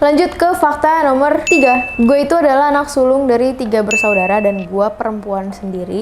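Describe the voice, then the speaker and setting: There is noticeable background noise. Over it, a woman speaks at a high pitch. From Gunung Putri, Bogor, West Java, Indonesia. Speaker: singer and YouTuber. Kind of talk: casual vlog talk to camera. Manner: casual, chatty.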